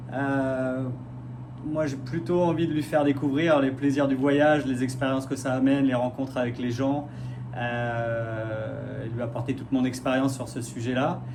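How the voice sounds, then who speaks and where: Through noticeable background noise and audible room echo, a man talks fairly slowly at a medium pitch in a monotone, flat intonation. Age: 40s. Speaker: radiology technician, reality show applicant. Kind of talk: casting video self-presentation. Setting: self-filmed video. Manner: hesitant, many fillers.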